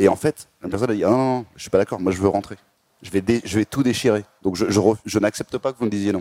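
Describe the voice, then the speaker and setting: Very fast speech in a dark, mellow tone with fairly even intonation and big swings in loudness, dry and close with no echo. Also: man, fairly low pitch for a man. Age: 30s. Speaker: startup founder and CEO. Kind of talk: interview.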